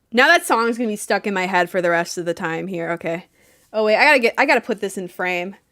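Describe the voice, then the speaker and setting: Loud and animated, a woman speaks at a very fast pace with a medium pitch and a bright, sharp tone. Her pitch varies in an ordinary way, on a very clean recording with a silent background. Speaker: art streamer. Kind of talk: live stream chat while painting.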